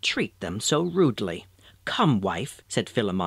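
A passage is being read out. The delivery uses a natural voice.

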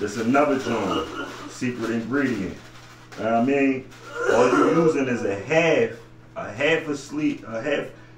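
Ordinary pitch variation marks this man's speech, heard with audible room echo and faint music in the background. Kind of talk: casual cooking tutorial. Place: home room. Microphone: camera far.

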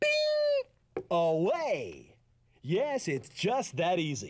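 At a very slow pace, a man performs a cartoonish character voice. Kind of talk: TV commercial read. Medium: puppet. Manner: upbeat, salesy.

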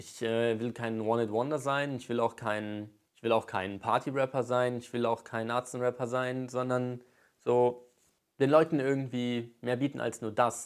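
A man speaks at a moderate pace in a medium-pitched, monotone voice with flat intonation against a quiet background. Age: 20s. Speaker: YouTuber and aspiring rapper; YouTuber. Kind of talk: vlog monologue rant. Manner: casual, hesitant with many fillers. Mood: earnest, determined. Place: home room. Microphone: lapel.

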